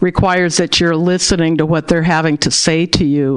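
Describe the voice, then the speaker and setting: A woman with a very deep, low voice speaks in an American accent over noticeable background noise. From Berkeley, California. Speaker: diversity practitioner, author. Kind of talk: interview.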